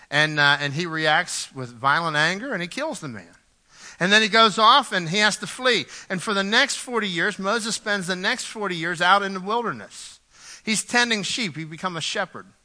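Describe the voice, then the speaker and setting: Using a raised, projected voice, a man speaks at a moderate pace, his high pitch bright and sharp in tone with lively intonation. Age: 40s. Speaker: pastor. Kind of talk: sermon. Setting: church. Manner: halting.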